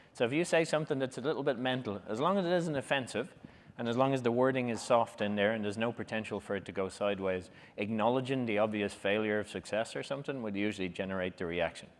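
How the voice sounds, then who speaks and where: Speaking in an Irish accent, a man of medium pitch races along at a very fast pace with lively intonation. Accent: Irish, noticeable. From Ireland. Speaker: public speaking workshop leader. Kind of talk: workshop talk. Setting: conference room with live audience. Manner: animated.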